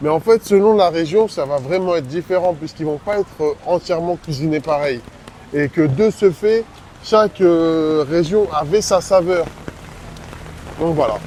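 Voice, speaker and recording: A man's voice, high in pitch, with ordinary pitch variation and noticeable background noise. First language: not French (speaking French). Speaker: travel vlogger. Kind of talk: casual vlog chat.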